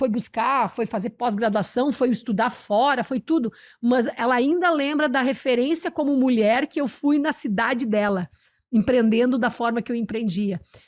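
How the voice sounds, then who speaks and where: A loud, animated woman's voice, high in pitch, with ordinary pitch variation at a moderate pace. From southern Brazil, Italian-descended interior (Nova Brescia, RS). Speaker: cooking youtuber and entrepreneur. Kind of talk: interview.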